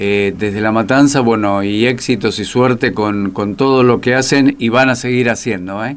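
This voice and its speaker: A man's medium-pitched voice in a Rioplatense accent, with fairly even intonation. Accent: Argentine Rioplatense Spanish. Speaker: radio host. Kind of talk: radio interview.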